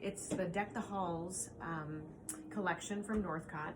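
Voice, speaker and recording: A woman's medium-pitched voice with ordinary pitch variation, at a fairly slow pace, amid noticeable background noise and audible room echo. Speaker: quilt shop owner. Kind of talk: tutorial. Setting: alone in a quilt shop. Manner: loud; casual, with fillers. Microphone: no microphone, camera audio.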